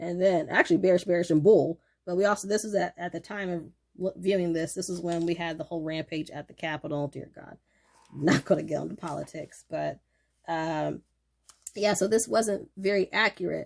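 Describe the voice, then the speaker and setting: Talking at a fairly quick pace, a woman with a fairly low pitch keeps a fairly even intonation despite big swings in loudness. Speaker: stock trading youtuber. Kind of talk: casual tutorial talk to camera. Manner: casual, with many fillers.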